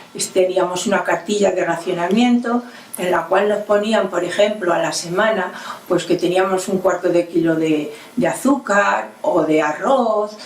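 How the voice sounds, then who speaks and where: A woman at a medium pitch with ordinary pitch variation, amid noticeable background noise. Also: fairly slow pace. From Spain, Toledo province (rural Castile). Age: 80s+. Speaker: elderly woman recalling her childhood. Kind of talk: oral history testimony. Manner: halting.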